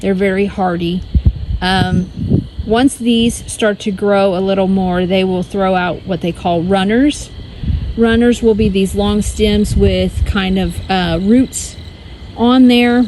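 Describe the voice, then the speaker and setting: Over noticeable background noise, a woman talks very slowly at a medium pitch with fairly even intonation. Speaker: homesteading vlogger. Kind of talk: casual vlog walkthrough. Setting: outdoors in garden.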